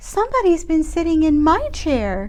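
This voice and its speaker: At a moderate pace, a woman squeaks in a put-on character voice of extremely high pitch over light background noise. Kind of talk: bedtime story. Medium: read story.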